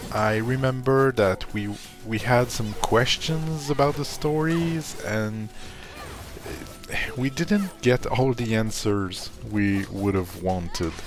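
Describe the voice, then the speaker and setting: Music plays in the background as a man with a medium-pitched voice speaks very slowly with lively intonation. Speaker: gaming youtuber. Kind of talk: casual video commentary. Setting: at home, living room. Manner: soft-spoken, ASMR-like quiet.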